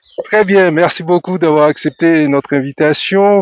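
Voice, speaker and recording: An ordinary speaking voice from a man, fairly slow, with ordinary pitch variation. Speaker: radio host. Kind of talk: radio interview questions.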